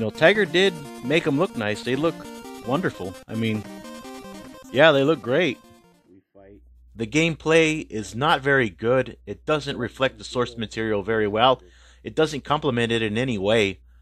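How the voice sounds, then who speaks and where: Lively intonation comes with long, frequent pauses, and music plays in the background. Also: man, medium pitch for a man, moderate pace. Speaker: video game reviewer. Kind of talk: game review talk to camera.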